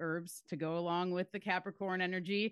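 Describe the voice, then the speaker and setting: With an unremarkable speaking voice, a woman talks at a moderate pace and fairly low pitch, using ordinary pitch variation. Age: 40s. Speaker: herbalist. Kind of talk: casual chat.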